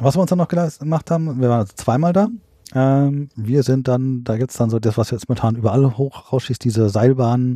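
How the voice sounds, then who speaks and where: A man's medium-pitched, dark, mellow voice at a fairly quick pace, with ordinary pitch variation and a quiet background. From central Germany (Hesse, Bad Hersfeld). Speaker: camper. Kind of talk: casual chat. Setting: in a caravan.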